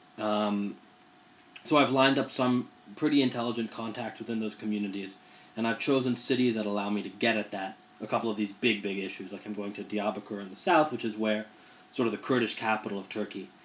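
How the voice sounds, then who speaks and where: A man talks at a very fast pace with a fairly low pitch and fairly even intonation. Noticeable background noise runs underneath. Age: 20s. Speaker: journalist. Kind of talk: casual talk to a class. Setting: recorded in his room. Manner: casual with many fillers.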